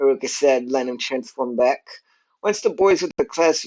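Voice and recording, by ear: The speaker reads aloud in a natural voice. The background is quiet.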